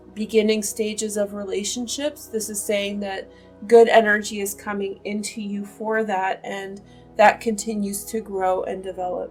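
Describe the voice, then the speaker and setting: Monotone, flat intonation over music in the background. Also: woman. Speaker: tarot reader and astrologer. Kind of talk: tarot reading to camera. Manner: slow.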